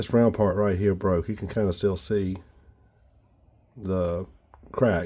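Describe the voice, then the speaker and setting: On a very clean recording with a silent background, a man with a fairly low pitch and a dark, mellow tone speaks at a very slow pace, with fairly even intonation and long, frequent pauses. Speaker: tool restoration youtuber. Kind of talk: casual workshop tutorial.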